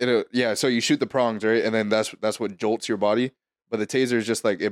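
The sound is dry and close, with no echo. A man with a fairly low pitch talks at a very fast pace. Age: 20s. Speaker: podcast co-host. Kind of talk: casual chat. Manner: animated.

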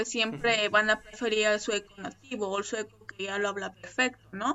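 A woman's fairly high voice with a Mexican accent. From Mexico. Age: 30s. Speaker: immigrant, social media creator. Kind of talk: casual interview. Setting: remote call.

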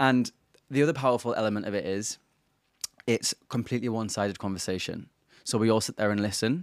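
A man at a medium pitch with ordinary pitch variation, very fast yet with long, frequent pauses, in a dry, close sound with no echo. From County Durham, north-east England. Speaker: travel journalist. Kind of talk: casual interview chat. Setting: in person, recorded in Indonesia.

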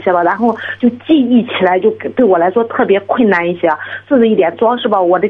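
A woman speaks at a fairly quick pace in a fairly high pitch with ordinary pitch variation, over noticeable background noise. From Shandong, Jining. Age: 30s. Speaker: caller seeking exam advice. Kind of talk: phone-in advice call. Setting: phone call.

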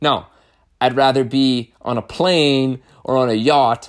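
A man in an animated tone, captured in a very clean recording with a silent background. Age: 30s. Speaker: podcast host and carpenter. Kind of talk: monologue podcast.

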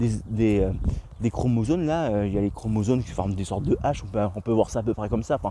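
The voice moves at a fairly quick pace with a dark, mellow tone. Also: man. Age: 20s. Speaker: podcaster. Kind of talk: solo monologue. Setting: outdoors in nature. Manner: hesitant, many fillers.

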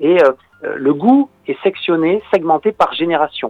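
The speaker is a man with a fairly high pitch. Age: 30s. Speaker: journalist and documentary maker, author. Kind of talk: radio interview.

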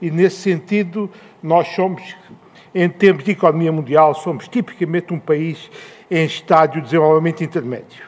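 A man's high voice in a European Portuguese accent, with fairly even intonation at a moderate pace. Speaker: economist and former government official. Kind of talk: panel talk.

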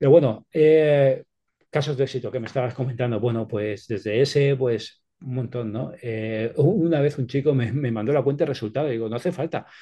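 The voice has a dark, mellow tone and is somewhat breathy. It moves at a moderate pace over a quiet background. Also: man, medium pitch for a man, ordinary pitch variation. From Spain, Alicante province (Petrer). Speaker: sales expert and author. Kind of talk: interview, expert advice.

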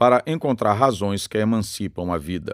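Very wide pitch swings come at a fairly slow pace in a very clean recording with a silent background and a dry, close sound with no echo. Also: man. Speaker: narrator reading the book aloud. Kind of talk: reflective prose reading aloud, philosophical essay narration. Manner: measured, formal, deliberate, contemplative.

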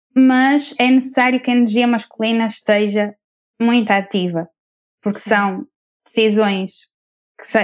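Her voice sits fairly high for a woman, with fairly even intonation. She speaks at a fairly slow pace. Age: 20s. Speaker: architect and coach. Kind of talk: casual chat.

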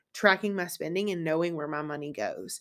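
On a very clean recording with a silent background, a woman uses an unremarkable speaking voice with ordinary pitch variation. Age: 30s. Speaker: podcast host and business owner. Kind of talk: solo podcast monologue. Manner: casual, conversational.

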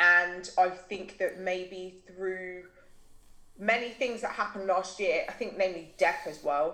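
Speaking with a British accent, a woman of medium pitch uses a bright, sharp tone, fairly even intonation and a fairly slow pace. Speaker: mental health blogger. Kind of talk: casual conversational interview.

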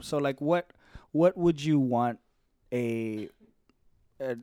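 A man's dark, mellow tone. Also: dry, close sound with no echo. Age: 20s. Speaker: podcast host. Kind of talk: casual chat. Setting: studio.

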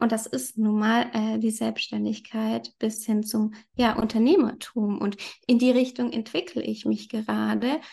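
Here a woman speaks at a fairly slow pace. The background is quiet. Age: 30s. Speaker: yoga teacher. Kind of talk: casual chat.

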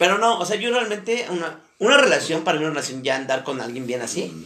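Room echo is audible around the speaker. A man talks rather quickly, his intonation lively. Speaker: podcast host. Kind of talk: casual chat.

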